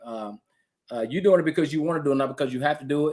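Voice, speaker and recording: A man talks in an ordinary speaking voice, pitched fairly high, with ordinary pitch variation. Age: 50s. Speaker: podcast host; retired veteran. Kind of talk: casual interview.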